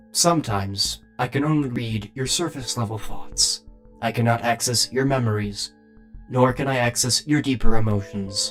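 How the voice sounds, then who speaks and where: A man performs a put-on character voice at medium pitch. Clear music plays in the background. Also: moderate pace. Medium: actual play. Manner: precise, formal.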